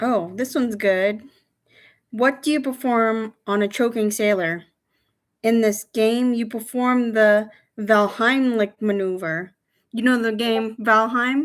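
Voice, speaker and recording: Mumbling at a very slow pace with fairly even intonation, the speaker is heard on a very clean recording with a silent background. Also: woman, fairly high pitch for a woman. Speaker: livestreamer. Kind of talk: casual live stream chat telling jokes. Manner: hesitant, many fillers.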